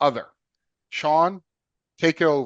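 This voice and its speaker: A fairly high-pitched man with an American accent, recorded dry and close with no echo against a quiet background. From US Northeast, Philadelphia. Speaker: podcast host, radiation oncologist. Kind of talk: casual interview. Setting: podcast.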